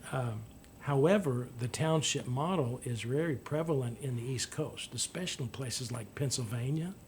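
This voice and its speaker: A somewhat breathy man speaks at a medium pitch and moderate pace with ordinary pitch variation. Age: 60s. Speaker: local political candidate. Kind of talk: interview. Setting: radio studio. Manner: halting.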